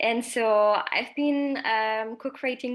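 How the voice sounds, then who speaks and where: On a very clean recording with a silent background, a woman with a French accent speaks at a fairly high pitch with fairly even intonation. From France. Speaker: social entrepreneur. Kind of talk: panel discussion.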